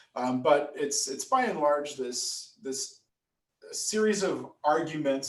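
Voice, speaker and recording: Pitched fairly high, a man speaks at a very slow pace. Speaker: political science professor. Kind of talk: lecture. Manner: animated.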